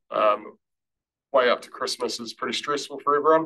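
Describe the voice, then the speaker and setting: A man talks with a New Zealand accent. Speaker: council roading staff presenter. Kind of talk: formal presentation to a board.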